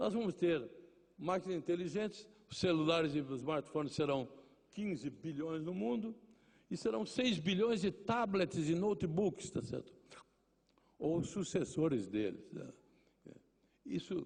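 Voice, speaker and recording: Long, frequent pauses break up the speech of a man with a high pitch. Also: lively intonation, fairly slow pace. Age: 80s+. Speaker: journalist. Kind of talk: lecture.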